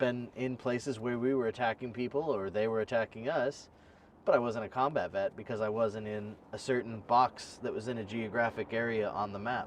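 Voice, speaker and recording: At medium pitch and a moderate pace, a man talks in a normal speaking voice, his pitch varying in an ordinary way. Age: 30s. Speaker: podcast host, military veteran. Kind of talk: casual interview chat.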